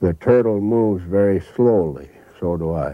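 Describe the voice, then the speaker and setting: An American accent at a fairly slow pace, with ordinary pitch variation. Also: man. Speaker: river guide and naturalist. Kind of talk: casual explanation.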